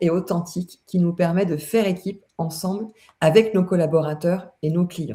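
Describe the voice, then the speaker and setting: A woman's somewhat breathy voice, fairly low in pitch, with a dark, mellow tone at a moderate pace. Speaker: consultant hosting a LinkedIn live. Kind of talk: live webinar conversation. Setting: online live stream. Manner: hesitant, many fillers.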